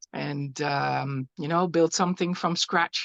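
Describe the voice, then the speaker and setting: With a Dutch accent, the speaker talks at a very slow pace with ordinary pitch variation in a dry, close sound with no echo. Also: woman. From Netherlands. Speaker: glass artist. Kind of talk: artist presentation. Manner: halting.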